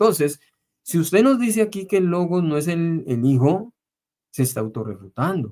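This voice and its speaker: A man speaks with a high pitch. His voice moves through very wide pitch swings. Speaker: bible debate channel host. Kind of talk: heated debate. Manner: slow.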